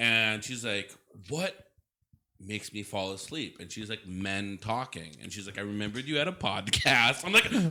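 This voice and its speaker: A man's fairly low voice with an American accent, bright, sharp tone, big swings in loudness and a moderate pace. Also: ordinary pitch variation. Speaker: podcast co-host. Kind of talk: casual chat.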